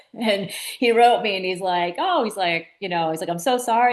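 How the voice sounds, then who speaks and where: In a Boston accent, a woman talks at a medium pitch. Her pitch varies in an ordinary way. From Massachusetts, coast between Boston and Cape Cod. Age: 50s. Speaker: children's author and inspirational speaker. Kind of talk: interview storytelling. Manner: animated.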